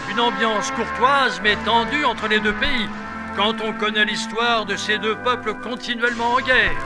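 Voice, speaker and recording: With music in the background, a man speaks in a raised, projected voice at an extremely high pitch. His tone is solemn, his intonation flat and monotone, and his pace moderate. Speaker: voice-over narrator. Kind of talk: mock TV news report narration. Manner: formal, solemn.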